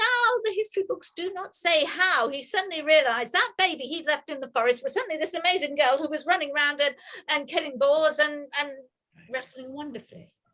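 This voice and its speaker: Her voice raised and projected, a woman speaks at a fairly quick pace with a high pitch and a bright, sharp tone. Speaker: storyteller. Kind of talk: oral storytelling of a myth. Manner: conversational, engaging with listeners.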